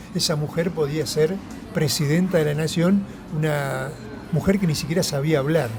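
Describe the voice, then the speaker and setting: A man speaks at a moderate pace and fairly high pitch, with audible room echo and music in the background. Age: 70s. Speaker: left-wing politician. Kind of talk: political interview. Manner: animated.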